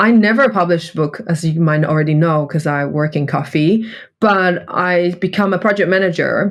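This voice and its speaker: A woman with a non-native accent against a quiet background. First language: not English. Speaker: coffee buyer and cup tasting champion. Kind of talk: interview.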